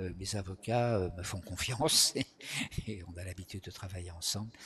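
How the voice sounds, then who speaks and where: A man's very deep, low voice with a bright, sharp tone, big swings in loudness, ordinary pitch variation and a moderate pace. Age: 70s. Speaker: retired psychosociologist and activist. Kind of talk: interview. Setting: live stream. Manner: hesitant, many filler words.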